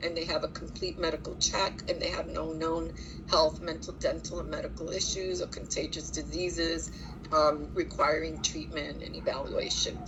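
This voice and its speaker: Audible room echo and noticeable background noise fill the recording. The woman talking keeps a moderate pace. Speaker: social services worker. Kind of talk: work review monologue. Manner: direct.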